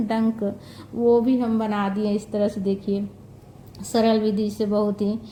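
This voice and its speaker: The speaker is a woman. Her voice carries a dark, mellow tone. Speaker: devotional home puja presenter. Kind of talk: tutorial. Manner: halting.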